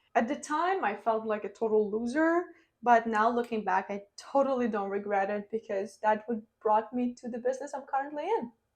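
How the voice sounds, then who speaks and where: A woman's fairly high voice with a non-native accent, ordinary pitch variation and a moderate pace. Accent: foreign accent, lasting. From Ukraine. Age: 20s. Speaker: online entrepreneur and vlogger. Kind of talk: personal story vlog.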